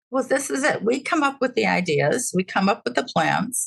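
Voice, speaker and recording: A woman with an American accent talks at a moderate pace, her pitch swinging very widely, with vocal fry. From Chicago. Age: 80s+. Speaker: beverage sales consultant. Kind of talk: interview. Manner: halting.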